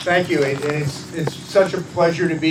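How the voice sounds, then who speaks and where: A man at a fairly slow pace with monotone, flat intonation and audible room echo. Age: 70s. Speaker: elected official, assemblyman. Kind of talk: dedication speech. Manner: halting, many fillers and restarts.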